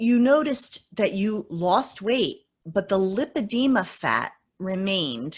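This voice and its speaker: A somewhat breathy woman's voice at a medium pitch, very slow, with very wide pitch swings, against a quiet background. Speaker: interview host. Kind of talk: interview questions.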